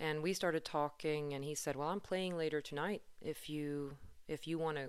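Her very deep, low pitch stays monotone and flat as this woman speaks at a moderate pace. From Sweden, Stockholm. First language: Swedish. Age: 30s. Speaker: podcast host and musician. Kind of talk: solo podcast monologue.

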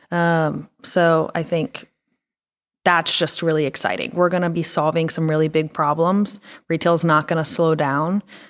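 On a very clean recording with a silent background, a woman with an American accent speaks at a fairly low pitch with ordinary pitch variation, an unremarkable speaking voice. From Pennsylvania. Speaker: retail merchandising director. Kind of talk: interview conversation.

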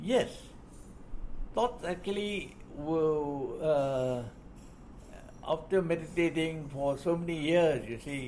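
A man with a Burmese accent, a fairly high pitch, ordinary pitch variation and a very slow pace. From Burma, Shan State. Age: 80s+. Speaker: retired army officer. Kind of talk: life-story interview. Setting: hotel meeting.

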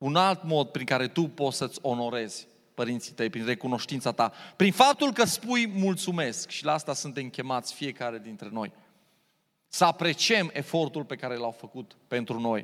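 In a very clean recording with a silent background, a man with a fairly high pitch speaks at a moderate pace in an animated tone, his intonation lively and his loudness swinging widely. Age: 40s. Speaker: pastor. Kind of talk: sermon.

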